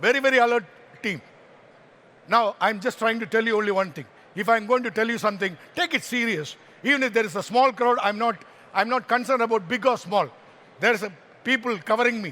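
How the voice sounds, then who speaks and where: In a raised, projected voice, the speaker rushes at a very fast pace with long, frequent pauses, an animated, bright, sharp tone and ordinary pitch variation. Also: man, high pitch for a man. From Kerala, India. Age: 60s. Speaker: motivational speaker. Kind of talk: motivational talk.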